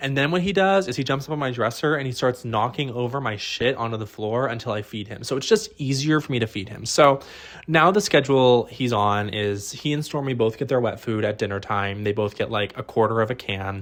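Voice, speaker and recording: In a very clean recording with a silent background, a man with an American accent talks in an animated tone at a fairly quick pace, with hardly any pauses and ordinary pitch variation. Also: medium pitch for a man. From US Midwest, Ohio. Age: 20s. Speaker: podcast host. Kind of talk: solo comedy podcast monologue.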